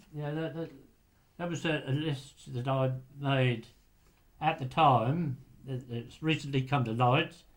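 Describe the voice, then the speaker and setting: With a somewhat breathy sound, a man talks at a fairly slow pace and leaves long, frequent pauses. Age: 80s+. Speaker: retired lighthouse keeper; interviewee. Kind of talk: oral history interview. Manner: halting. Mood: calm, recalling the past.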